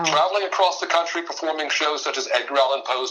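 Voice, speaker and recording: Noticeable background noise sits behind a man with a fairly high pitch. He talks at a very fast pace with an American accent. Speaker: mentalist and voice actor, performer of one-man theater shows. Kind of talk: podcast interview answer, conversational storytelling.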